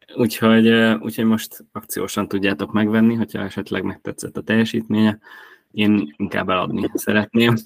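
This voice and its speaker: Speaking at a fairly quick pace, a man with a fairly low pitch and fairly even intonation comes through in a dry, close sound with no echo. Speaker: fantasy football podcast host. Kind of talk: casual chat.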